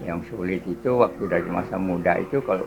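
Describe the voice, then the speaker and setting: A man speaks at a very fast pace with a very deep, low pitch. His intonation is lively, and background noise is noticeable. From East Java (Madiun). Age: 70s. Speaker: street coffee seller. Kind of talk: interview. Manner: halting.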